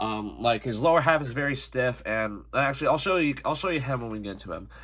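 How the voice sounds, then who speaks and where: A man's medium-pitched, bright, sharp voice at a very fast pace, with lively intonation and vocal fry. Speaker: toy reviewer. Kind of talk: product review. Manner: halting.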